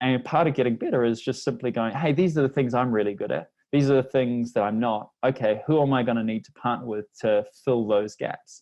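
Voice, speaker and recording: A man's medium-pitched voice at a fairly quick pace, hardly pausing, with ordinary pitch variation and big swings in loudness. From New Zealand. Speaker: language learning company representative. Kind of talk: podcast interview.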